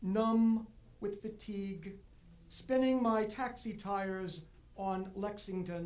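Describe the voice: Someone reads aloud plainly. Their intonation is fairly even.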